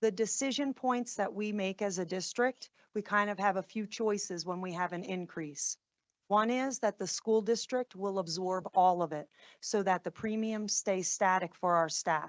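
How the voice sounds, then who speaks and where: The speaker talks at a moderate pace with a New Jersey accent. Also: woman, medium pitch for a woman, ordinary pitch variation. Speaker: school district administrator presenting to board. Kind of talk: board meeting presentation.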